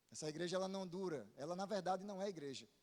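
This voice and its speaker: Speaking at a very fast pace, a man talks with a Paraíba accent. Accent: Northeastern Brazilian (Paraíba). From Paraíba, Brazil (Northeast). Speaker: pastor. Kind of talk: sermon. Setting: church.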